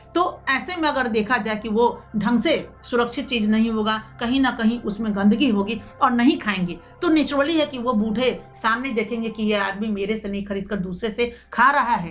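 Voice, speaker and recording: A woman's fairly high voice, with ordinary pitch movement, comes through noticeable background noise. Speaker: news presenter. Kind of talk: news commentary.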